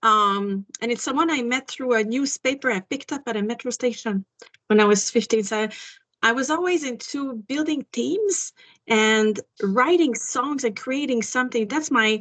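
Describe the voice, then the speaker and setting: A woman speaks in a French accent at a moderate pace. Her high pitch varies in an ordinary way. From Quebec. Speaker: singer-songwriter. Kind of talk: interview.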